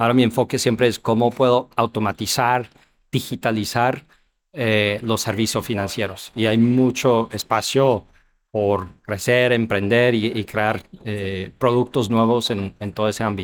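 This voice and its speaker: In an English accent, a man speaks at a medium pitch and a fairly slow pace. His intonation is monotone and flat, and the recording is very clean with a silent background. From US Midwest (Ohio). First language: English (speaking Spanish). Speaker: startup founder and CEO. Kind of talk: interview. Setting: business expo. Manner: halting, many fillers and repetitions.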